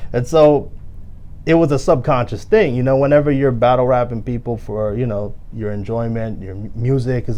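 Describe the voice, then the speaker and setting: A man at a medium pitch and fairly quick pace, with audible room echo. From Philippines, then Brooklyn, New York. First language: Filipino. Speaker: lawyer and former rapper. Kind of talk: interview. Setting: podcast.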